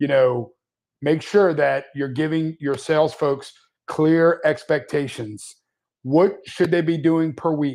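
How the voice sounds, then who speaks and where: A man at a very slow pace, fairly high in pitch, with fairly even intonation. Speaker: managed IT services business owner. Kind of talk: live webinar discussion. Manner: loud.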